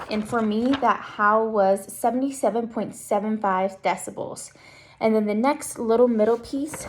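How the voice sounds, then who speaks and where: Against noticeable background noise, a woman speaks at a moderate pace with a fairly high pitch and fairly even intonation. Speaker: student presenting a class assignment. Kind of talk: tutorial.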